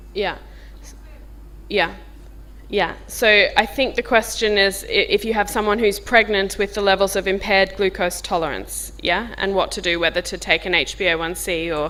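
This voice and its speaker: At a moderate pace, a woman speaks in a strong Australian accent. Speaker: diabetes physician. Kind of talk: medical workshop talk. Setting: conference workshop room, filmed. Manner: informal.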